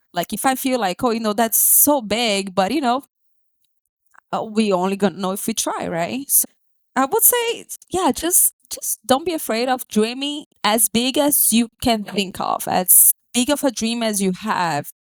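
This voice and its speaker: Lively intonation marks this woman's speech in a Brazilian accent, at a fairly high pitch. She talks at a fairly slow pace, with a dry, close sound and no echo. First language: Portuguese. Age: 20s. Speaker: podcast guest. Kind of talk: casual interview chat. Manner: animated.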